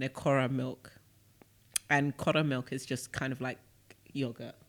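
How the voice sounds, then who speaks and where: Speaking in a British accent, a man with a medium pitch keeps a monotone, flat intonation. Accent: British accent, even when speaking Shona. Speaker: podcast co-host. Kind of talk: casual chat.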